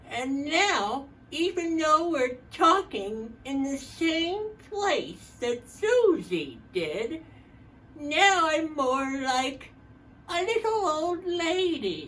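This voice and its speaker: A woman puts on a nasal character voice at an extremely high pitch, speaking very slowly over clear background noise. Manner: slowed down.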